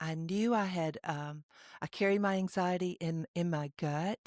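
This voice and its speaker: A woman with a Southern US accent, fairly low pitch and fairly even intonation, on a very clean recording with a silent background and a dry, close sound with no echo. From Mississippi. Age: 60s. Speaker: podcast co-host, recovery coach. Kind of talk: casual discussion. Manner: halting, with many fillers.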